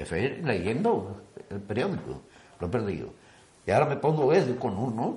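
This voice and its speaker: A man's fairly slow speech with very wide pitch swings and long, frequent pauses, in audible room echo. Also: medium pitch for a man. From Spain, Andalusia (Antequera). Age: 80s+. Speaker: miniature float builder, brotherhood member. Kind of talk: interview.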